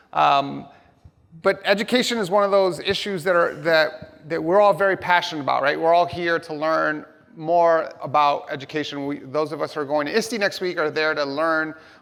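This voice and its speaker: The speaker has a New York accent. The pace is moderate. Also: man. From New York City (Hell's Kitchen), US. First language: Spanish. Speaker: tech company education executive, keynote speaker. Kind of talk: keynote speech. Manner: animated.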